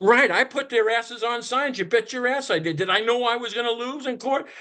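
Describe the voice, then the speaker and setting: A man talks at a fairly quick pace in an animated tone, his extremely high, bright and sharp voice raised and projected. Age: 60s. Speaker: whistleblower. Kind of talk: casual chat.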